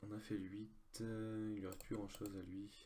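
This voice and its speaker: Somewhat breathy, a man speaks at a fairly low pitch with a dark, mellow tone. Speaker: online poker player. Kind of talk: live gameplay commentary. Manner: halting, many fillers.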